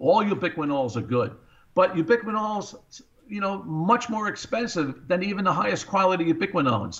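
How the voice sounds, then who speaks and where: Here a man speaks at a fairly quick pace with an American accent. His high pitch swings very widely. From US Northeast, Long Island, New York. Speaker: cardiologist. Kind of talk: radio interview.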